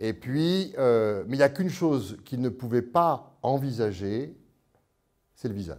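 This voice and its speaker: This man has a plain, everyday voice with a medium pitch. He talks at a fairly slow pace with lively intonation. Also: very clean recording, silent background. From France. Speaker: priest and psychoanalyst, author. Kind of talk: lecture.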